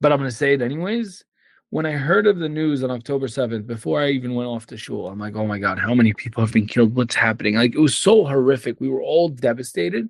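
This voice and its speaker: Over a quiet background, a man speaks very fast with an Arabic accent. His pitch is medium and his intonation lively. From Syria (Damascus). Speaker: immigration attorney and activist. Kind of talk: podcast interview. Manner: animated.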